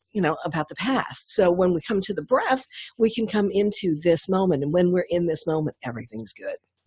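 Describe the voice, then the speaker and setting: Lively intonation marks this woman's speech. Her pitch is fairly low. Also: hardly any pauses. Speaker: women's leadership coach and hypnotist. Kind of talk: casual interview. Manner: calm; graceful, smooth.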